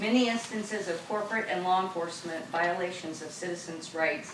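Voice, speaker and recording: A woman with an American accent speaks fairly low at a fairly quick pace with fairly even intonation. Noticeable background noise and audible room echo surround her. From southern Ohio. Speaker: citizen speaking at council meeting. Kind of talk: public comment speech. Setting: city council meeting, microphone.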